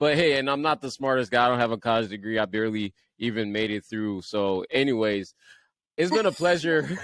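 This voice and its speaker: On a very clean recording with a silent background, a man with a Liberian accent speaks at a fairly quick pace in a medium pitch with lively intonation. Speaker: podcast host. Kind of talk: casual interview chat.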